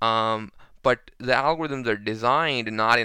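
A man speaks at a fairly slow pace in a medium pitch, his bright, sharp tone edged with vocal fry, on a very clean recording with a silent background. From Pakistan. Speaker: robotics researcher. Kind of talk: interview.

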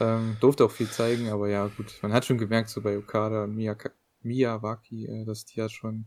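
This man's medium-pitched voice stays monotone, with flat intonation throughout. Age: young. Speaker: wrestling podcast co-host. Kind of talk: casual chat.

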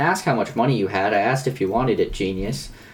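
A man with an American accent talks at a very fast pace and a medium pitch. Noticeable background noise runs beneath him. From US South, North Carolina. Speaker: podcast co-host. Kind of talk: casual chat.

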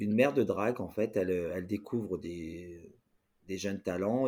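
A man speaks with a dark, mellow tone at a fairly low pitch. The recording is very clean, and the background is silent. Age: 40s. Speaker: drag queen performer. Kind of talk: casual interview.

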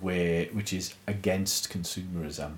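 A man with an English accent speaks at a very slow pace. His pitch is very deep and low, and his intonation is fairly even. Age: 40s. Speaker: church podcast co-host. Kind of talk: casual chat.

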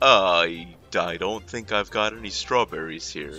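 Putting on a character voice, a man talks at a moderate pace in a very deep, low pitch. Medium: actual play. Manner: halting, full of 'uh', polite.

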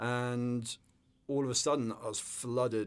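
This man speaks with an English accent at a fairly slow pace. His pitch is medium and his intonation fairly even. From northern England. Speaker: business co-founder and sailing instructor. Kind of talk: casual interview chat.

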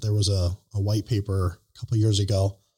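Recorded very cleanly against a silent background, a man with a fairly low pitch and a dark, mellow tone speaks somewhat breathily at a moderate pace. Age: 30s. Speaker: podcast host. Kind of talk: casual interview.

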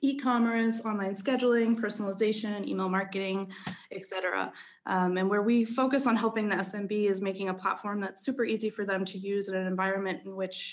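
A woman with an American accent speaks at a fairly quick pace in a normal speaking voice, her medium pitch held in fairly even intonation. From Philadelphia. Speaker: podcast guest, chief marketing officer. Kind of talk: business.

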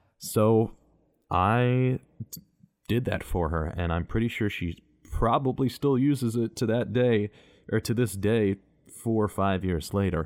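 A man with an American accent and fairly low pitch, at a fairly slow pace with long, frequent pauses and ordinary pitch variation, in a very clean recording with a silent background. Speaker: podcast host and voice actor. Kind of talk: personal monologue. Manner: mellow; varied inflections.

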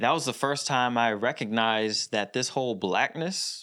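Speaking at a moderate pace with lively intonation, the voice has a bright, sharp tone and an American accent, in a very clean recording with a silent background. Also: man. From Philadelphia area, US. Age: 40s. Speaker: podcast co-host. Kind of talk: casual chat. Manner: animated.

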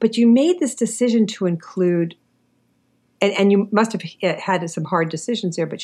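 This woman has an ordinary speaking voice, medium in pitch, with an American accent, a moderate pace and ordinary pitch variation. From New York City, Queens. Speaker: podcast host and writing teacher. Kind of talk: interview.

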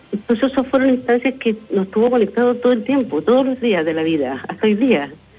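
The delivery is fairly quick, with lively intonation. Background noise is noticeable throughout. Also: woman. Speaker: parish pastoral worker. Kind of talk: live radio interview.

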